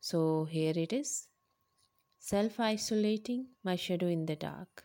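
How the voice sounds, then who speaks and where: Speaking in a Pakistani accent, a woman has a medium pitch and a dark, mellow tone. Her pace is very slow. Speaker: poet reading her own haiku. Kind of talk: reading aloud with commentary. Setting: remote recording, self-isolating at home.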